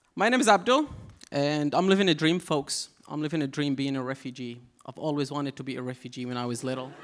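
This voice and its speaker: Talking at a very fast pace, a man with an Arabic accent has a fairly high pitch and ordinary pitch variation. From Syria, Aleppo. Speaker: comedian. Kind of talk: stand-up. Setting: stage with audience.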